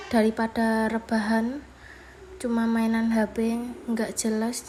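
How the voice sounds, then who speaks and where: Against noticeable background noise, a woman with a Javanese accent and a fairly high pitch speaks very slowly. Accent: Javanese accent in Indonesian. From Java, Indonesia. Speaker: vlogger and housewife. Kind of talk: casual vlog voiceover. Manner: casual, somewhat halting.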